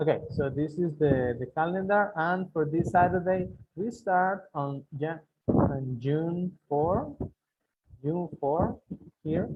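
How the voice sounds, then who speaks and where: A man's fairly high voice at a very slow pace. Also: ordinary pitch variation. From Guatemala (Cobán). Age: 30s. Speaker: English teacher. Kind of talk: online class lecture. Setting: online video class. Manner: repetitive, halting.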